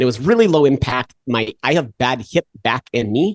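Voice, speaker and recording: A man at a fairly quick pace in a dry, close sound with no echo. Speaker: exercise science professor. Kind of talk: podcast interview. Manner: fast; halting.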